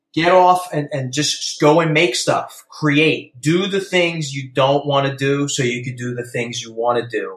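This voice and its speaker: A man with a Philadelphia accent speaks at a fairly slow pace with hardly any pauses, his fairly high pitch showing ordinary variation. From Philadelphia, US. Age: 40s. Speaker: mixed-media artist. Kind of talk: podcast interview.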